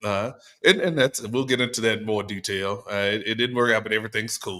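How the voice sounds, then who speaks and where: On a very clean recording with a silent background, a man with a Southern US accent speaks at a fairly low pitch in a bright, sharp tone. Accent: Southern, noticeable. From US South, Little Rock, Arkansas. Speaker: podcast co-host. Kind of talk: casual chat.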